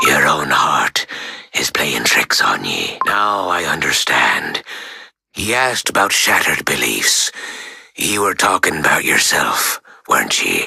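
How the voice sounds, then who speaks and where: A man does a put-on character voice with a fairly low pitch. He speaks at a fairly slow pace. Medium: video game. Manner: steady, reassuring.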